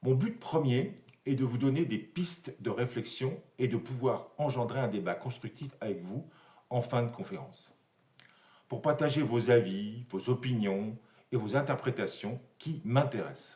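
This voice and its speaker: The voice has a dark, mellow tone and is somewhat breathy. It moves fairly slowly with ordinary pitch variation and long, frequent pauses. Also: man, medium pitch for a man. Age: 60s. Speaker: amateur history lecturer, retired engineer. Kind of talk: scripted presentation.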